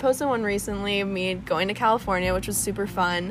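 At a moderate pace, a woman talks in an unremarkable speaking voice. Her pitch sits at a medium level, and her intonation is fairly even. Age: 20s. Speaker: podcast guest. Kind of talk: casual chat.

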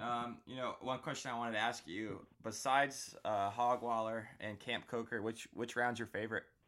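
Hardly pausing, a man talks at a moderate pace with an American accent and a bright, sharp tone. His pitch sits in the medium range, and his intonation stays monotone and flat. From Florida. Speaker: podcast host. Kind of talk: casual interview.

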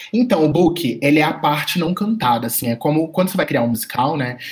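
This man has an ordinary speaking voice, fairly high in pitch, with lively intonation at a moderate pace. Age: 20s. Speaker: podcast co-host, art director. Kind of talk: casual chat.

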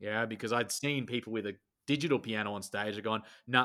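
A man with an Australian accent talks at a very fast pace. The recording is very clean, with a silent background. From Australia, rural outback. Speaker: speaker, coach and musician. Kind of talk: interview.

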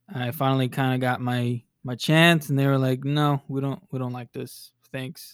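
An American accent marks this man's medium-pitched, monotone voice with flat intonation. He keeps a moderate pace with hardly any pauses, in a dry, close sound with no echo. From Texas, Dallas area. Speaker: DJ and producer. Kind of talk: casual interview.

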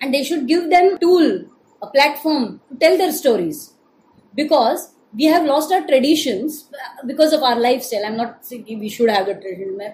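A woman with a high pitch speaks with lively intonation and big swings in loudness. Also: moderate pace. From Maharashtra, India. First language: Marathi (speaking Hindi). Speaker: stage actor. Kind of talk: interview conversation.

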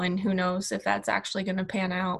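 At a moderate pace, a woman with an American accent speaks at medium pitch in a bright, sharp tone. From US Midwest, Kansas City. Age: 20s. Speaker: travel blogger. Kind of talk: casual interview.

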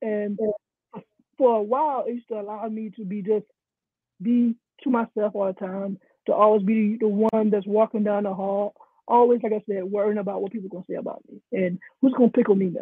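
With an American accent, a man talks at a high pitch, his loudness swinging widely. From South Carolina, US South. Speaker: coach, guest sharing testimony. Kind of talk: testimony, interview. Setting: live stream.

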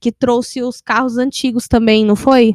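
A high-pitched woman's voice, dry and close with no echo. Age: 20s. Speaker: podcast host. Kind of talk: casual chat.

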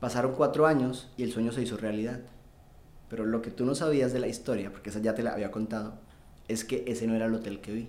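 The speaker is a man with fairly even intonation. He talks at a very fast pace. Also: medium pitch for a man. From Colombia. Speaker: sales expert. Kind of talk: casual interview chat.

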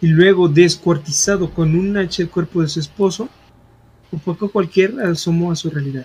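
Speaking at a moderate pace, a man with a high voice shows ordinary pitch variation. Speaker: podcast co-host. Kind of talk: reading aloud; casual chat.

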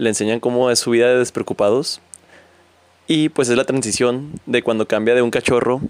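A man speaks in a Mexican accent at a medium pitch. His tone is relaxed, and his pace is fairly quick. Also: dry, close sound with no echo. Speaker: podcaster. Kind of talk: casual monologue. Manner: informal, relaxed.

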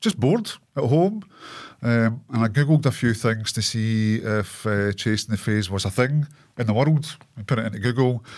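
Speaking with a Scottish accent, a man at medium pitch keeps a moderate pace and ordinary pitch variation. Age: 40s. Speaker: clothing brand owner and cancer patient. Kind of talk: casual interview. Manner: talkative.

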